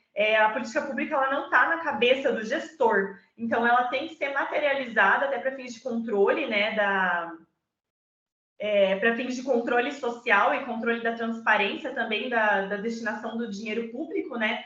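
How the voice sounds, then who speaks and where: A woman's high voice with ordinary pitch variation at a moderate pace, with audible room echo. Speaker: data protection law speaker. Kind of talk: online presentation.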